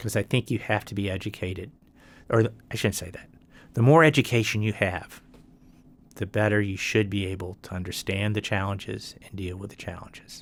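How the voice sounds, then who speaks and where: Speaking fairly quickly with a Virginian accent, a man uses a fairly low voice and fairly even intonation, his loudness swinging widely, in a very clean recording with a silent background. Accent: Virginian American. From Roanoke, Virginia. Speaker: retired law professor. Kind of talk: oral history interview answer.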